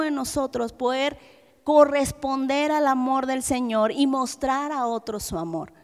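On a very clean recording with a silent background, a woman with a high pitch speaks at a fairly slow pace with ordinary pitch variation. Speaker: preacher. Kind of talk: sermon.

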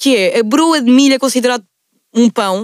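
A high-pitched woman with a Lisbon accent, an animated tone and ordinary pitch variation, in a dry, close recording with no echo. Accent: European Portuguese, Lisbon. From Portugal, Lisbon area (Margem Sul). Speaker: podcast host. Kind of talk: casual chat.

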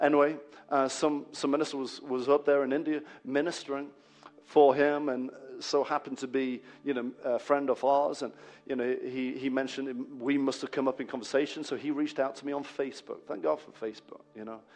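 Speaking at a fairly quick pace, a man with a fairly high pitch lets his loudness rise and fall sharply. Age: 40s. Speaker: pastor. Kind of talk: sermon. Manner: animated.

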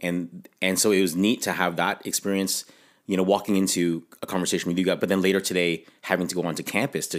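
A man with a Canadian accent talks at a very fast pace in a very deep, low pitch. The recording is very clean, with a silent background. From Canada. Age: 40s. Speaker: intercultural ministry director and pastor. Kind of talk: interview conversation.

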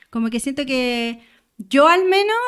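Speaking at a moderate pace, a woman with a Chilean accent uses a high-pitched voice. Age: 30s. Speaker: muralist. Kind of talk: casual chat.

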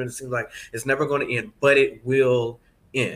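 The man's tone is passionate, bright and sharp. His pitch sits fairly high. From Atlanta, Georgia. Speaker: professor of voice and singer. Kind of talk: casual interview.

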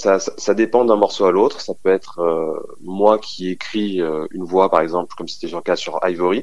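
This man's pitch sits fairly low and varies in an ordinary way. He keeps a moderate pace with hardly any pauses. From New Jersey / moved around, French-American. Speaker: music producer. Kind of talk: interview. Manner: halting, with fillers.

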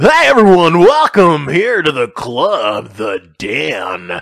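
A man's put-on character voice, fairly high in pitch and very slow in pace. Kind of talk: showy, smooth. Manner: hyped, announcing.

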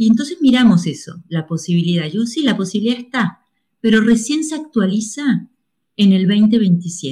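Somewhat breathy and dark, mellow in tone, a woman speaks at a fairly high pitch with very wide pitch swings. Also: moderate pace. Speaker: astrologer. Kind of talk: interview.

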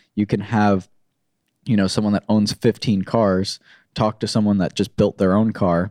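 Spoken at a moderate pace with an American accent, the dark, mellow voice comes through a very clean recording with a silent background and a dry, close sound with no echo. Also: man. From Florida. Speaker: automotive social media influencer and agency owner. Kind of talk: casual interview chat.

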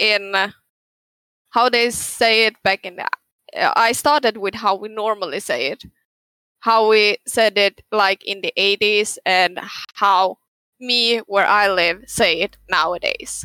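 In a Swedish accent, a woman with a bright, sharp tone and fairly even intonation speaks with long, frequent pauses, in a very clean recording with a silent background and a dry, close sound with no echo. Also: medium pitch for a woman. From northern Sweden. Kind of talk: casual chat.

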